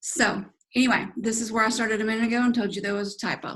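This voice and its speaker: At a fairly quick pace, a woman with a fairly high pitch talks in a Southern US accent. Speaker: fitness coach. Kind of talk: online presentation. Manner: casual, filler-heavy.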